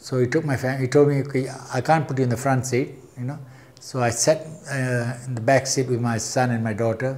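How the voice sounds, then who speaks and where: Somewhat breathy, a man talks at a moderate pace in a medium pitch with fairly even intonation. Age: 60s. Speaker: retired airport cargo handler, witness. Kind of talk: oral history interview testimony. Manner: halting, with false starts.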